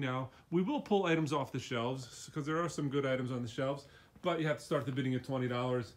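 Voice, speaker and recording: Against a quiet background, a man with a fairly high pitch speaks with fairly even intonation in an unremarkable speaking voice. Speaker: auction house walkthrough presenter. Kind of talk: casual walkthrough tour. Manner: casual, conversational.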